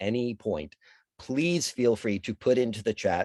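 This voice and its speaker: Recorded with a dry, close sound and no echo, a man of medium pitch speaks in a plain, everyday voice with ordinary pitch variation. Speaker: casting director leading a mindfulness talk. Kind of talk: guided talk. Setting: video call.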